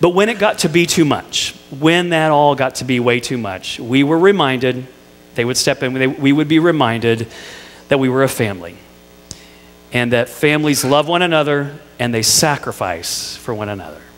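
A man with an American accent talks at a moderate pace. His pitch is fairly high and his intonation is lively. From Indiana, US Midwest. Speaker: pastor. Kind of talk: sermon. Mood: warm, light humour. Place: church. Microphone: headset.

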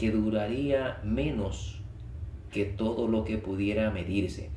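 At a fairly slow pace, a man speaks with a fairly low pitch, a dark, mellow tone, vocal fry and lively intonation. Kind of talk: audiobook reading of a short story. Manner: calm, measured, even narration.

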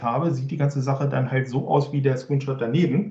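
A man's fairly high, somewhat breathy voice with a dark, mellow tone, at a fairly quick pace, with audible room echo against a quiet background. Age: 40s. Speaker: IT consultant and conference speaker; conference speaker. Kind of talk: technical presentation. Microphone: video call.

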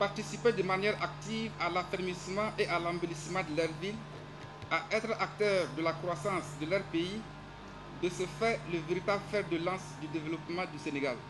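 Over clear background music, a man speaks at a high pitch and a moderate pace with fairly even intonation. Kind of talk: formal speech. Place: street. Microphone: podium.

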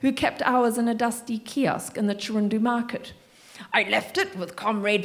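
The clip is plain reading aloud. Its intonation stays fairly even.

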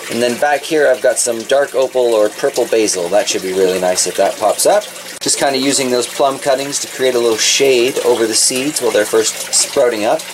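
A man speaks fairly quickly with ordinary pitch variation while noticeable noise runs in the background. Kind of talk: casual vlog chat. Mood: relaxed, cheerful. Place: garage. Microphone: phone near.

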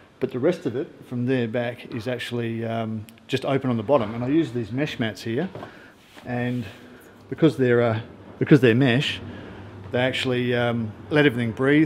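A man in an Australian accent at a moderate pace, with fairly even intonation, long, frequent pauses and light background noise. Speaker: travel filmmaker; travel vlogger. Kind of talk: casual vlog narration. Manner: relaxed, hesitant with fillers.

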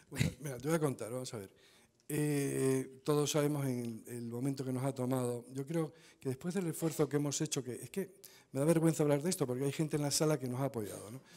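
A man talking at a fairly quick pace with fairly even intonation. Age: 60s. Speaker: conference speaker, standards body representative; conference speaker. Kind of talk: Q&A answer at conference talk. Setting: conference stage with audience. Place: hall. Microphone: podium.

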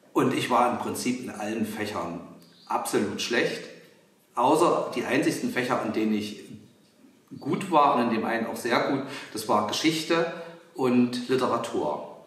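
With audible room echo, a man speaks in lively intonation broken by long, frequent pauses. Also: medium pitch for a man, fairly slow pace. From Halle, Saxony-Anhalt, eastern Germany. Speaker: visual artist. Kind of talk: interview answering children's questions. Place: workshop.

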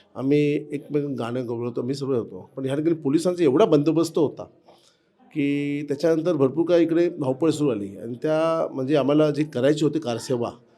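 A dark, mellow tone marks this voice. The pitch rises and falls in an ordinary manner. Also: man. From Mumbai, India (Girgaon). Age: 50s. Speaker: temple construction safety manager, former activist volunteer. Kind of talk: interview, personal reminiscence. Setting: old temple in Ayodhya.

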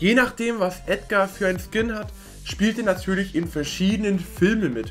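A man talks while faint music plays in the background. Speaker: gaming content creator. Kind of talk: casual commentary. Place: home room.

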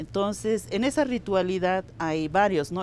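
A woman speaks with vocal fry. The sound is dry with no echo, and there is light background noise. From Bolivia, Andean highlands (Cacachaca community); Bolivia. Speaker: interviewee. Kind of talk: interview, cultural explanation. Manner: measured, with frequent repetitions and fillers. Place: street.

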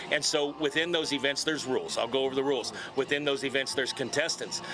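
A man talks at a very fast pace with fairly even intonation. Noticeable background noise runs under the recording. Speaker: guest. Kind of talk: interview answer. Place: stadium. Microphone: handheld.

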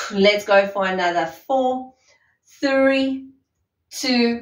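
A woman speaks at a very slow pace, with audible echo in the room. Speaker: fitness instructor. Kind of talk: workout instruction. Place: empty room.

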